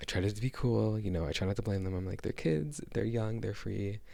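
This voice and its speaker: A soft-spoken man whispers at a fairly quick pace. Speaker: vlogger. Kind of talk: casual chat. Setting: living room at home. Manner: soft-spoken, near whisper.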